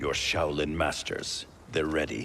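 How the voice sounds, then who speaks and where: A man's put-on character voice, very deep and low in pitch, over clear background noise. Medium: video game. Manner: terse, grim.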